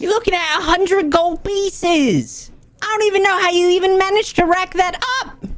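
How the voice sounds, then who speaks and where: A put-on character voice pitched extremely high. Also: moderate pace. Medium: actual play. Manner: brusque, scolding.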